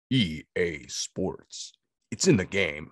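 A man performs a put-on character voice. It is pitched very deep and low.

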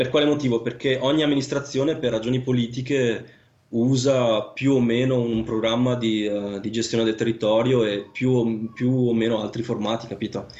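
A man with a medium pitch keeps his intonation fairly even and talks at a moderate pace. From northern Italy, Vicenza (Veneto). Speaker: land surveyor. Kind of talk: casual interview. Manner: halting, many fillers and repetitions.

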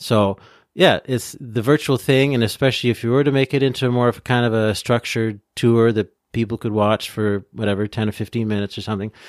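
Very fast speech with fairly even intonation comes in a Canadian accent, recorded very cleanly against a silent background with a dry, close sound and no echo. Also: man, medium pitch for a man. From Ontario, Canada. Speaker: podcast co-host and former tour guide. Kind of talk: casual chat.

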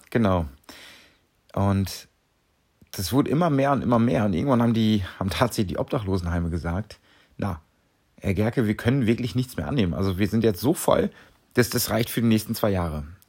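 A man's lively intonation broken by long, frequent pauses, in a very clean recording with a silent background. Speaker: clown and charity volunteer. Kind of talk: solo podcast monologue.

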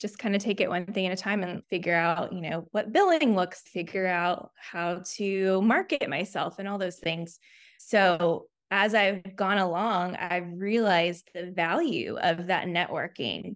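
A woman's medium-pitched, a plain, everyday voice, fairly slow, with ordinary pitch variation, on a very clean recording with a silent background. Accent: American. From US South, Chattanooga, Tennessee. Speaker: speech therapist, practice owner. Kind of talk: interview.

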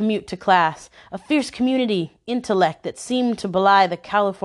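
The reading is plain, read aloud with ordinary pitch variation.

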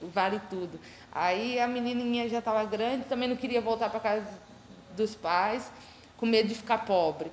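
Against noticeable background noise, a woman with a fairly high voice talks at a moderate pace with fairly even intonation and long, frequent pauses. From Brodowski area, São Paulo state, Brazil. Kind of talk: public talk. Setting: museum event with audience.

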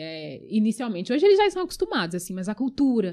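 A woman talks with a fairly high pitch. Her pitch swings very widely. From Brazil, raised from age five, born in Angola. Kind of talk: casual interview conversation.

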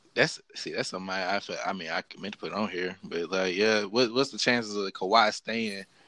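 A bright, sharp tone at a moderate pace with fairly even intonation. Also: man, fairly low pitch for a man. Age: 20s. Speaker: podcast host, student. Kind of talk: casual chat.

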